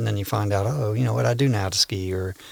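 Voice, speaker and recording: In an American accent, a man of fairly low pitch with a plain, everyday voice talks at a fairly quick pace with ordinary pitch variation. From Garrett County, western Maryland. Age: 60s. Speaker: real estate agent. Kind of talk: casual chat.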